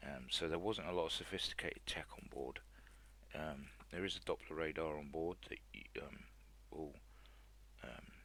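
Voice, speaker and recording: A man's very deep, low voice at a moderate pace. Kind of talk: flight sim review, casual talk. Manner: hesitant, many fillers.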